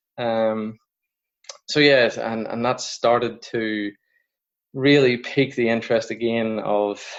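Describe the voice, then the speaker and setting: This man talks at a very slow pace and medium pitch, with flat, monotone intonation and long, frequent pauses. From Northern Ireland. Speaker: coaching researcher. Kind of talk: podcast interview. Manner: hesitant, many fillers.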